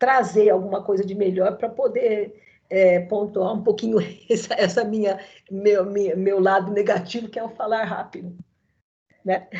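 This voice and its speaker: Audible room echo surrounds a woman with a dark, mellow tone. Her medium pitch stays monotone, with flat intonation. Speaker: law professor. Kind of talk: online lecture. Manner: fast.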